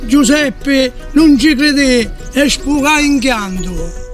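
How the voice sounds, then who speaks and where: A man's extremely high voice in a Sicilian accent, with music in the background. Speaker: dialect poet. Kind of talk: poetry reading.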